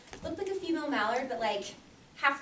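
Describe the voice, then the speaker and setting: This is a woman's voice. There is audible room echo. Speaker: Toastmasters club member. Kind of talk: prepared speech. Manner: fast.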